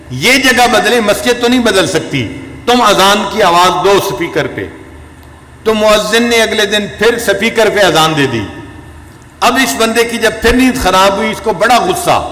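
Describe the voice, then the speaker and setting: There is noticeable background noise behind this man. His raised, projected voice is high-pitched, with ordinary pitch variation. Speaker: Islamic scholar and spiritual leader giving a sermon. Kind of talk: religious sermon (bayan) telling cautionary stories.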